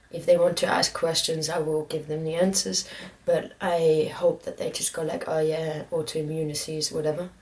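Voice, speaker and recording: Noticeable background noise sits under a woman speaking in a flat monotone. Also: moderate pace. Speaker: vlogger with multiple sclerosis. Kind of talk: personal video update. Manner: halting, many fillers.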